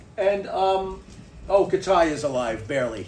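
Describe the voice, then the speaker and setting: Amid audible room echo, a man speaks at a high pitch with a New York accent. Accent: New York (Bronx). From New York City (the Bronx). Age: 60s. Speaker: podcast host. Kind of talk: casual chat. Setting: home garage studio. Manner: animated.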